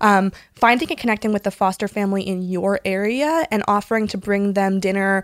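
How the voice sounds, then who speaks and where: Recorded very cleanly against a silent background, an ordinary speaking voice moves at a fairly quick pace with ordinary pitch variation. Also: woman, medium pitch for a woman. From US West Coast, San Diego. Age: 20s. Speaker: foster and adoptive parent. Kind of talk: casual chat.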